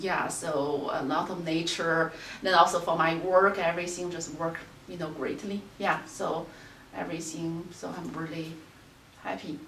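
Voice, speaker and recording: The speaker talks at a fairly slow pace in a Chinese accent, with flat, monotone intonation and big swings in loudness. Noticeable background noise and audible room echo are present. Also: woman. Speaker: qigong teacher. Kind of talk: interview. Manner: hesitant, many fillers.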